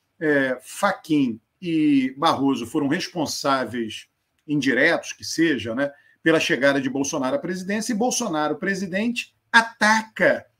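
This man's tone is bright and sharp. His pitch moves through very wide swings. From Brazil, Northeast (Alagoas). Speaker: political scientist and professor. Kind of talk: live-stream interview.

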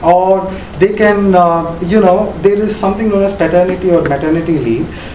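A high-pitched man's voice amid noticeable background noise. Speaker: graduate student. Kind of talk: class discussion.

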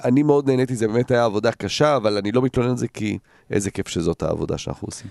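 A man races along at a very fast pace, heard with a dry, close sound and no echo. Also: medium pitch for a man, ordinary pitch variation. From Jerusalem, Israel, partly raised in the Netherlands. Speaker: football pundit. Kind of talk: casual chat.

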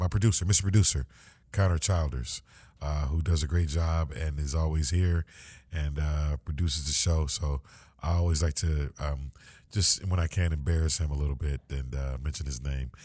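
A man's very deep, low, somewhat breathy voice with a dark, mellow tone and ordinary pitch variation, in a very clean recording with a silent background. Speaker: podcast host for a school district. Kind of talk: casual interview chat. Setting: podcast studio. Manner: halting, many fillers.

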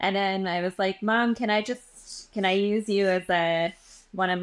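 An unremarkable speaking voice with a Canadian accent moves at a fairly slow pace with fairly even intonation in a very clean recording with a silent background. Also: woman. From Western Canada (Edmonton, Alberta). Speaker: energy healer. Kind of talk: casual chat.

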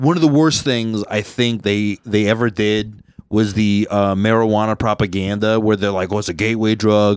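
At a moderate pace and with hardly any pauses, a normal speaking voice uses fairly even intonation in a very clean recording with a silent background. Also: man, fairly low pitch for a man. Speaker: podcast host. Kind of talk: casual comedic banter. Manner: rambling, jokey, filler-heavy.

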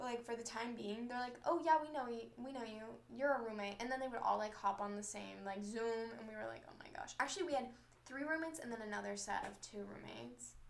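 A woman with an American accent and fairly high pitch, talking at a very fast pace, with ordinary pitch variation, big swings in loudness, audible room echo and noticeable background noise. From Southern California. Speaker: college student podcaster. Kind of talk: casual chat. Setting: bedroom, recorded on a laptop. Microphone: laptop mic.

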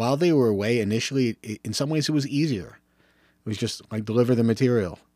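On a very clean recording with a silent background, a man with a plain, everyday voice talks at a fairly quick pace with ordinary pitch variation. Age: 50s. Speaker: teacher and football coach. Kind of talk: solo podcast monologue. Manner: casual, with filler words.

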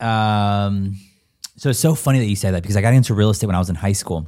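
Heard in a very clean recording with a silent background, a man with an American accent has an unremarkable speaking voice, a fairly low pitch and ordinary pitch variation. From Southern California, Escondido. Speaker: real estate agent and investor. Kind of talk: casual interview.

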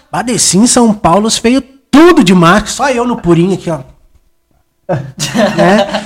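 Long, frequent pauses interrupt speech that moves at a fairly slow pace. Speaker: barber. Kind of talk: casual chat. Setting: barbershop studio.

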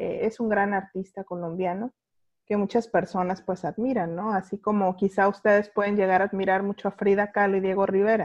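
At a fairly quick pace, a woman speaks in a Guadalajara accent against a quiet background. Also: medium pitch for a woman. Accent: Guadalajara sing-song. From Mexico, Guadalajara. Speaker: podcast host. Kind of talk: casual interview chat. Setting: video call.

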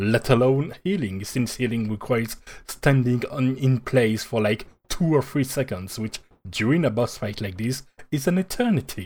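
With lively intonation, a man talks at a moderate pace in a medium pitch. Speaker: podcast co-host. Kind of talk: casual chat.

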